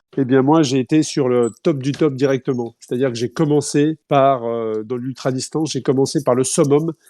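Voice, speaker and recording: In a very clean, silent recording with a dry, close sound and no echo, a man with a dark, mellow tone speaks at a moderate pace and medium pitch, with fairly even intonation and hardly any pauses. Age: 40s. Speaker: ultra-distance cyclist and event organizer. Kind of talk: podcast interview. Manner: hesitant, many fillers.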